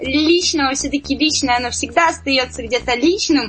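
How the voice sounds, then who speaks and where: High-pitched female speech over clearly audible background noise, its pitch rising and falling in an ordinary way. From Siberia, Zabaykalsky Krai. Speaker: singer-songwriter. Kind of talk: radio interview. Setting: studio.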